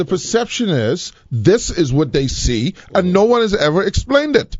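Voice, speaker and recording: An animated, high male voice with very wide pitch swings at a moderate pace. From Bahamas. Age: 60s. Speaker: radio talk show host. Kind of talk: heated debate. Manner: animated, repetitive.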